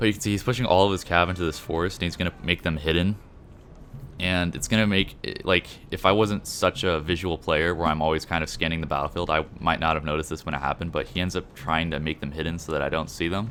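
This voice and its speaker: A man with a very deep, low pitch, talking at a very fast pace in fairly even intonation. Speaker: gaming commentator. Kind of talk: gameplay commentary. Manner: casual.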